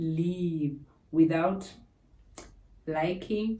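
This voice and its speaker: A somewhat breathy woman speaks at a fairly low pitch in a dark, mellow tone, with ordinary pitch variation. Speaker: YouTuber. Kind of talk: tutorial.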